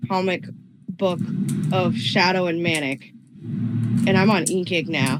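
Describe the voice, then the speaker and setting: A woman's mid-range voice comes through while music plays in the background. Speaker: podcast guest, fan artist. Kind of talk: casual chat.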